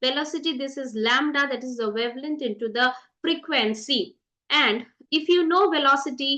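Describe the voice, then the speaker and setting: A woman's high, raised and projected voice over background music. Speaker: science teacher. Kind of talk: online revision lecture.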